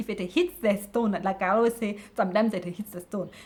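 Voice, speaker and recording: A woman speaks at a fairly quick pace in a medium pitch, her voice somewhat breathy. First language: not English. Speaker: YouTuber giving life tips. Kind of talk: motivational talk. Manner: halting, with repetitions.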